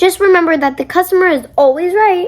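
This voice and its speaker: This is a squeaky, put-on character voice. It moves at a fairly quick pace with lively intonation. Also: woman. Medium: read story. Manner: jovial, hearty.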